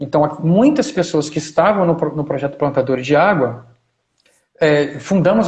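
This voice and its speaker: At a moderate pace, a man with an ordinary speaking voice talks at a fairly high pitch with ordinary pitch variation. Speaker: historian and agroecology researcher. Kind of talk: live stream talk.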